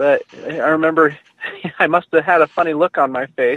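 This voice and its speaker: A man talks at a fairly high pitch. The sound is dry and close, with no echo. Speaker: dentist. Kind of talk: interview. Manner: soothing.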